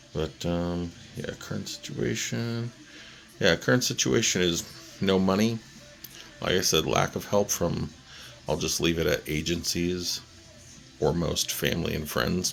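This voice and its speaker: With music in the background, a man speaks quietly in a very deep, low voice at a fairly slow pace, using lively intonation and long, frequent pauses. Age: 40s. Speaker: vlogger. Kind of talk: personal video update. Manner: halting.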